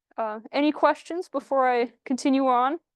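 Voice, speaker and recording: Loud speech with an American accent and ordinary pitch variation comes through a dry, close sound with no echo and a quiet background. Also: woman. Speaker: IT and cybersecurity specialist. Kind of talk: presentation to a community group. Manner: animated.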